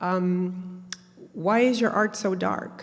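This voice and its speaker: With a Spanish accent, a woman speaks at a medium pitch with ordinary pitch variation. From Peru, raised in Canada from childhood. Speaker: mental health advocate and artist. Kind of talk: workshop talk, personal story. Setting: university event with audience. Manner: hesitant, many fillers.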